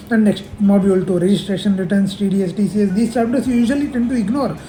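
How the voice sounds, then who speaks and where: Very fast speech in a slight South Indian accent, over noticeable background noise. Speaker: chartered accountancy student. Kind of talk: casual tutorial. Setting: office. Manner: halting.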